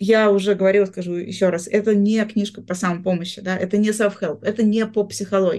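With hardly any pauses, a woman talks at a fairly quick pace in a flat, monotone delivery. Her voice has a dark, mellow tone and a medium pitch. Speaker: sociologist and journalist. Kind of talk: podcast interview about a book. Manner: articulate, hesitant fillers.

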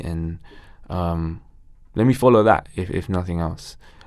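On a very clean recording with a silent background, a man with a London accent speaks with ordinary pitch variation. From Ilford, east London, England. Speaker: actor and musician. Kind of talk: casual interview chat.

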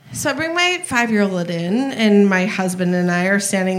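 The speech moves at a moderate pace with ordinary pitch variation. Noticeable background noise and audible room echo fill the recording. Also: woman. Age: 40s. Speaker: audience member at live show. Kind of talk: live podcast, sharing a story. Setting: stage with audience. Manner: halting.

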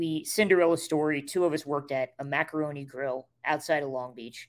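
A man speaks with a plain, everyday voice at a fairly high pitch, with ordinary pitch variation. The recording is very clean, with a silent background. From rural Nebraska. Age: 30s. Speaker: comedian and screenwriter. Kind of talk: casual chat.

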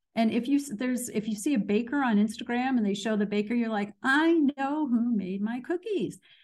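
A woman's plain, everyday voice, fairly high in pitch, with lively intonation, a moderate pace and an American accent. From US Midwest, Danville, Illinois. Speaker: marketing expert. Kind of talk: interview.

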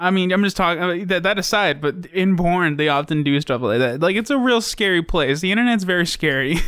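A man with a high pitch keeps a fairly quick pace, hardly pausing, at very even loudness. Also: lively intonation. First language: Navajo. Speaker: podcast host. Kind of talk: casual chat.

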